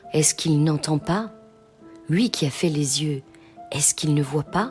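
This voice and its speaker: A woman speaks in a soothing, calm tone with a very deep, low pitch. Music plays in the background. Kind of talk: bedtime scripture reading.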